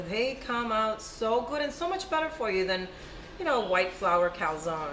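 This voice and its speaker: Music plays in the background and the room echo is audible. Over it, a woman speaks at a fairly high pitch. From Cuba. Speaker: cooking video host. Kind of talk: cooking tutorial. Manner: casual, chatty.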